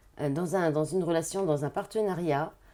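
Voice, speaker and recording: A woman's dark, mellow tone at a moderate pace with ordinary pitch variation, in a very clean recording with a silent background. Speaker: tarot card reader and spiritual therapist. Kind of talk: tarot reading guidance. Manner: hesitant, many fillers.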